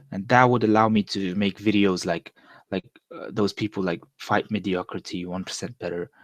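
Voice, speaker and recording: Against a quiet background, a man speaks with a fairly low pitch and fairly even intonation. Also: moderate pace, dry, close sound with no echo. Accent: Mongolian. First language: Mongolian. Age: 20s. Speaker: vlogger. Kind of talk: casual monologue. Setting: live stream. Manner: casual, hesitant with self-corrections.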